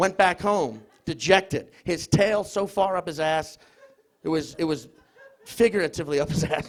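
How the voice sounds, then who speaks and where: A man with a high voice speaks at a moderate pace, his pitch rising and falling in an ordinary way. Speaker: comedian. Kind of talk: comedic stage debate. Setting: stage with audience in a pub.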